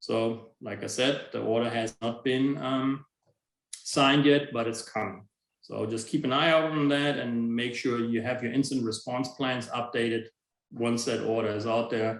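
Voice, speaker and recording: A man with a plain, everyday voice, medium in pitch, fairly even in intonation, at a moderate pace. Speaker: information security officer. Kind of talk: webinar presentation.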